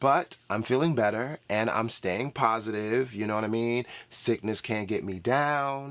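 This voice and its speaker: In a very clean recording with a silent background, a man of medium pitch speaks with ordinary pitch variation. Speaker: book YouTuber. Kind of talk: casual vlog talk. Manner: animated.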